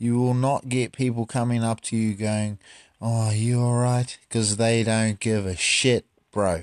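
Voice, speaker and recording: Recorded very cleanly against a silent background, a man speaks at medium pitch and a fairly slow pace with very even loudness and a dry, close sound with no echo. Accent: New Zealand. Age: 30s. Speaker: podcast host. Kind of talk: casual chat. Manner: animated.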